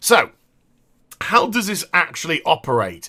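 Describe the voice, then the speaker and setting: A man with a British accent speaks in a bright, sharp tone with vocal fry. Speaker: gaming youtuber. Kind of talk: gameplay commentary.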